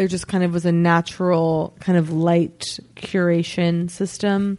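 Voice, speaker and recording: Speaking at a very slow pace with a Californian accent, the woman keeps a medium pitch and a monotone, flat intonation. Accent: Californian American English. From Los Angeles, US. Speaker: comedian. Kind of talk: casual chat.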